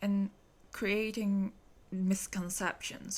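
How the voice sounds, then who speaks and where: Speaking at a very slow pace, a woman talks with a Hong Kong accent. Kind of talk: podcast monologue.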